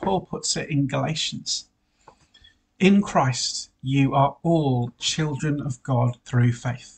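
His voice is fairly high and somewhat breathy. The man's pitch variation is ordinary. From Wales. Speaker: priest. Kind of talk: sermon. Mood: warm, lightly humorous. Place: home room. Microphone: webcam.

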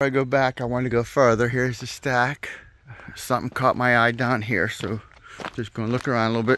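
A man speaks very fast in a monotone, flat intonation, the sound dry with no echo. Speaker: explorer vlogger. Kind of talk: casual vlog chat. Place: open country. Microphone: phone near.

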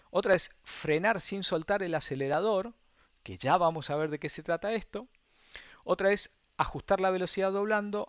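A high-pitched man at a moderate pace, with lively intonation. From Argentina, Mendoza. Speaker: sim racing instructor. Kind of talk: online masterclass lecture. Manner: halting, many repetitions.

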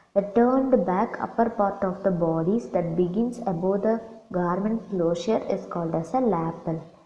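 Medium pitch from a woman, delivered at a moderate pace amid noticeable background noise. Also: ordinary pitch variation. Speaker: assistant professor of fashion design. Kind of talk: lecture.

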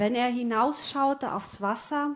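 Soft-spoken words come at a very slow pace with ordinary pitch variation. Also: woman. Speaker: storyteller. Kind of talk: story narration, reading a fairy tale aloud. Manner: slow, dreamy, soft and flowing. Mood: calm, reflective. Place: studio. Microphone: headset.

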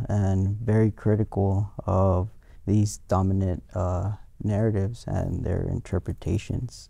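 Against a quiet background, a man talks at a fairly slow pace in a fairly low pitch with monotone, flat intonation. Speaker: guest. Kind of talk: interview answer. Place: studio. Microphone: lapel.

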